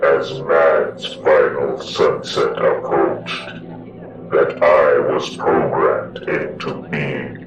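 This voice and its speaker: A man performs a put-on character voice at an extremely high pitch and a very slow pace. Slight echo and clear background noise are present. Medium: audio drama. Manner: solemn, measured.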